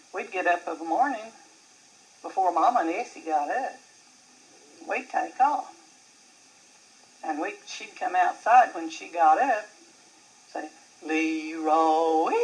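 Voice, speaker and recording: Amid noticeable background noise, the speaker talks at a fairly slow pace with lively intonation, long, frequent pauses and big swings in loudness. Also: woman, medium pitch for a woman. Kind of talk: interview answer, family reminiscence.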